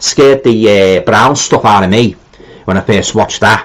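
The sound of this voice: A man speaks fairly quickly, his pitch varying in an ordinary way.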